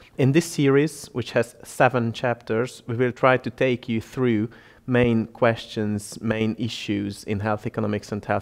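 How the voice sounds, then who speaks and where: A man speaks with a Hungarian accent. His intonation stays fairly even at a moderate pace. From Hungary. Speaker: health economist. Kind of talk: educational presentation.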